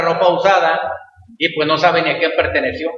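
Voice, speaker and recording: Audible room echo around a man's high-pitched, monotone, flat delivery. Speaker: pastor. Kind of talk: sermon. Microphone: echo in closed room.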